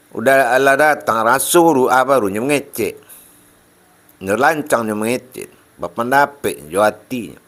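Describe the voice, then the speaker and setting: A man in a West Sumatran accent talks at a moderate pace and medium pitch with ordinary pitch variation. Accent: Minangkabau, Panti-Tapus-Rao Pasaman dialect. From Pasaman, West Sumatra. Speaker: Islamic religious teacher. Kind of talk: religious sermon.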